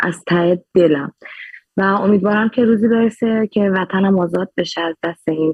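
A woman talks at a fairly slow pace in an ordinary speaking voice. Her pitch is medium and her intonation fairly even. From Khuzestan, Iran (Abadan and Ahvaz). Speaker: Instagram activist. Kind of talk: interview.

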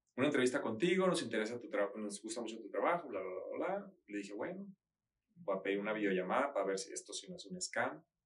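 A man's voice sits at medium pitch. His pitch swings very widely. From Mexico, Sinaloa (Mazatlán, Culiacán). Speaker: interior designer and architect. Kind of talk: casual interview.

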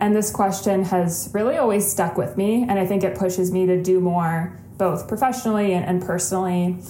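A woman's medium-pitched voice at a fairly quick pace, with audible room echo. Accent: Midwestern American. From Ohio, west side of Cleveland. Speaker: podcast co-host, sustainability professional. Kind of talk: casual interview.

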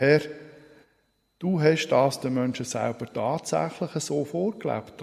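Very slowly, a man speaks with lively intonation, a solemn, warm tone, and vocal fry. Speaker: preacher. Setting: church. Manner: formal, solemn and measured, with a warm pastoral tone.

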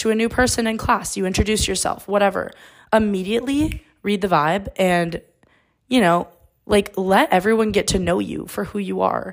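At a moderate pace, a woman talks at medium pitch with ordinary pitch variation. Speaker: college student podcaster. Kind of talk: casual solo monologue. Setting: dorm room. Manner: loud.

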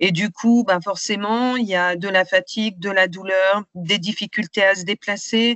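A woman talks fairly slowly at a medium pitch, with fairly even intonation and hardly any pauses. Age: 50s. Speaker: patient advocate and trainer. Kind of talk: interview testimony. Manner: hesitant, many fillers.

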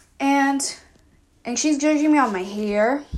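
On a very clean recording with a silent background, a woman talks at a fairly slow pace with ordinary pitch variation. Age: 20s. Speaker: podcaster. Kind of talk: emotional vent monologue.

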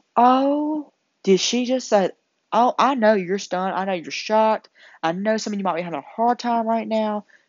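In a Southern US accent, a woman talks at a moderate pace with a fairly high pitch and ordinary pitch variation. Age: young. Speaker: incoming nursing student. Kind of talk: casual monologue to camera. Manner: animated.

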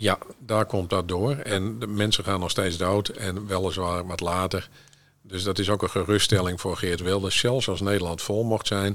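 Fairly slow, fairly even speech from a man with a very deep, low pitch. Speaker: podcast co-host. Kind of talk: casual chat.

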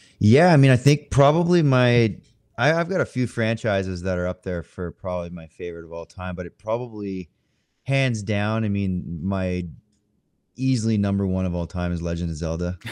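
A man with a Canadian accent speaks in a normal speaking voice, fairly low in pitch, at a moderate pace with lively intonation. His loudness swings widely, and the recording is very clean with a silent background. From Canada. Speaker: video game voice actor and streamer. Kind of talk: interview, casual chat.

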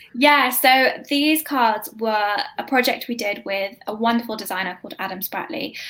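In a British accent, a woman speaks at a moderate pace and fairly high pitch, with ordinary pitch variation and big swings in loudness. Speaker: grief app co-founder. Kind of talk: casual interview chat. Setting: live stream.

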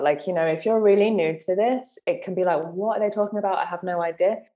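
A woman speaks at a medium pitch in a London accent. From southern England, London. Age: 30s. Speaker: menstrual cycle coach and author. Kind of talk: casual interview chat.

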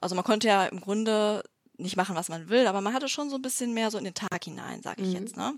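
A woman talks at a very fast pace. Her pitch is medium, with ordinary variation. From Düsseldorf, western Germany. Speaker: company founder. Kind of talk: interview. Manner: hesitant, many filler sounds.

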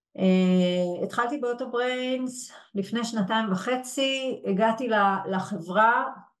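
A woman's voice with ordinary pitch variation. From Israel, Yehud. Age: 40s. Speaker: HR executive and coach. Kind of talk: webinar interview. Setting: live webinar.

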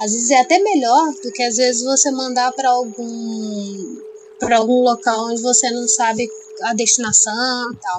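A high-pitched woman's voice at a moderate pace, with ordinary pitch variation and noticeable background noise. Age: 30s. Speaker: environmental engineer. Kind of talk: casual interview.

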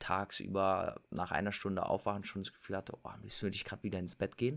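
Heard in a very clean recording with a silent background, a man with an unremarkable speaking voice and fairly low pitch talks at a fairly quick pace. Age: 20s. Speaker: fitness and lifestyle influencer. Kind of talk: casual interview.

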